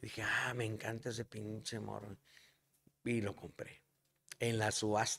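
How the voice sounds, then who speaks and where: Speaking at a moderate pace in a northern Mexican accent, a man leaves long, frequent pauses. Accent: northern Mexican (norteño) Spanish. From Nuevo León, Mexico. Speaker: singer-songwriter; podcast guest. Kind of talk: casual chat. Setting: bar. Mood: relaxed, anecdotal. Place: bar. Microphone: studio mic.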